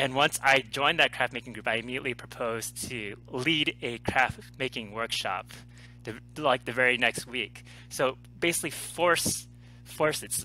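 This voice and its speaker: Moderate pace and ordinary pitch variation from a man with a bright, sharp tone and vocal fry, in a dry sound with no echo. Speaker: interview guest, life coach. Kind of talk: interview answer. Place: home room. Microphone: headset.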